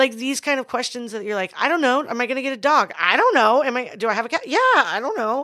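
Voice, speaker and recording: A woman speaks in a raised, projected voice with a high pitch, a very fast pace, hardly any pauses and ordinary pitch variation. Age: 30s. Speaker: podcast co-host and business owner. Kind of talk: casual chat.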